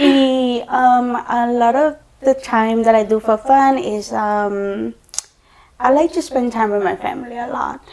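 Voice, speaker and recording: With a strong Salvadoran accent, a woman speaks at a fairly slow pace, her high pitch showing ordinary variation. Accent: thick Salvadoran Spanish. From El Salvador. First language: Spanish. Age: 20s. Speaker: podcast guest. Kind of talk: casual chat.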